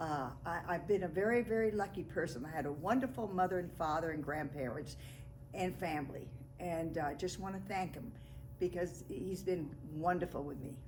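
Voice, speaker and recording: With audible room echo and noticeable background noise, a woman talks at a moderate pace in a fairly low pitch. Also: ordinary pitch variation. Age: 80s. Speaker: family elder, great-grandmother. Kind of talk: family oral history interview.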